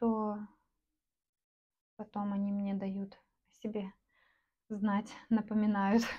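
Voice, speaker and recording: At a very slow pace, a woman speaks in a relaxed, somewhat breathy tone at a medium pitch, with monotone, flat intonation. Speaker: artist selling paintings online. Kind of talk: casual vlog narration while painting. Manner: relaxed, with hesitations and filler words.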